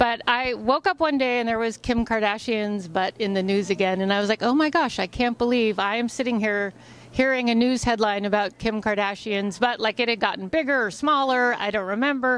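At a fairly quick pace with hardly any pauses, a woman talks with ordinary pitch variation in a dry sound with no echo. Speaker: interviewee. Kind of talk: interview answer. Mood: playful, chatty. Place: hall. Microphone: handheld.

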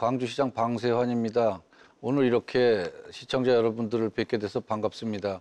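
At a moderate pace, a man with a medium-pitched voice speaks in a flat monotone. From Gwangju, Gyeonggi Province, South Korea; Gyeonggi Province, South Korea. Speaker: city mayor. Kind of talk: studio interview. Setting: studio. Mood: calm, polite, formal. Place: studio. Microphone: lapel.

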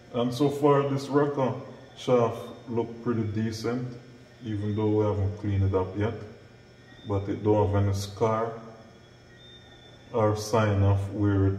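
Through light background noise and audible room echo, a man with a fairly low pitch speaks at a fairly slow pace with fairly even intonation and long, frequent pauses. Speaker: mechanic instructor. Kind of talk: tutorial. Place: workshop. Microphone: camera far.

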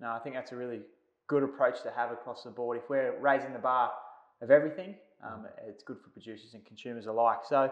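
With an Australian accent, the speaker talks very fast, with fairly even intonation and big swings in loudness. There is audible room echo, but the background is quiet. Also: man. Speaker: turf company presenter; presenter. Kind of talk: interview. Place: studio.

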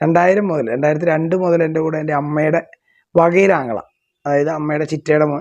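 A man with an unremarkable speaking voice and fairly even intonation. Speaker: traditional temple ritual artist. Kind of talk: interview monologue.

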